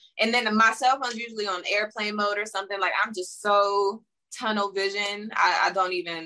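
This woman has a plain, everyday voice and an American accent. She speaks at a moderate pace with fairly even intonation. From Pittsburgh, Pennsylvania, US. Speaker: singer and model. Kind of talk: interview. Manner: casual, filler-heavy.

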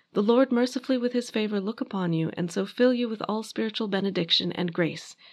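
Here a woman has an unremarkable speaking voice at medium pitch, with ordinary pitch variation. She talks at a fairly quick pace against a quiet background. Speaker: podcast host and history narrator. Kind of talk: reading aloud a wedding liturgy from a prayer book, solemn and measured. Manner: conversational and wry in the intro.

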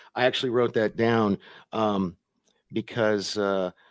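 In an unremarkable speaking voice, a man talks at a moderate pace and a fairly low pitch, recorded dry and close with no echo on a very clean track with a silent background. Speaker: co-host. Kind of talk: casual chat. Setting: live stream.

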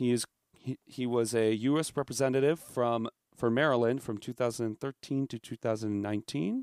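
On a very clean recording with a silent background and a dry, close sound with no echo, a man uses a plain, everyday voice at a medium pitch, speaking at a moderate pace with fairly even intonation. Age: 20s. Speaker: political commentator guest. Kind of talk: reading aloud; casual chat.

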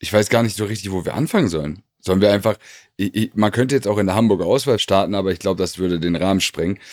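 The man talks very fast at a fairly low pitch, his pitch varying in an ordinary way. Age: 30s. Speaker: former footballer and podcast co-host. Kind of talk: casual chat.

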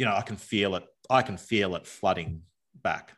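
With an Australian accent, a man talks at a moderate pace in a fairly low pitch over a quiet background. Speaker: former bank executive. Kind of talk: casual interview. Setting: video call from backyard workshop.

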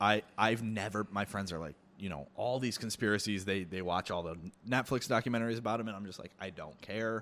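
An unremarkable speaking voice from a man, fairly low and fairly quick, with ordinary pitch variation in a very clean recording over a silent background. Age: 20s. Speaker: chef. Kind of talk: casual chat.

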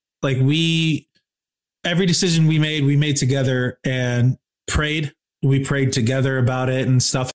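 With an American accent and a plain, everyday voice, a man talks at a moderate pace in a fairly high pitch, keeping very even loudness and fairly even intonation. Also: dry, close sound with no echo. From Michigan, Kalamazoo. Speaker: rock band musician and podcaster. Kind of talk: casual interview chat.

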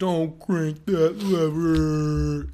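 A put-on character voice at a middle pitch comes through over light background noise. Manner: odd, peculiar delivery.

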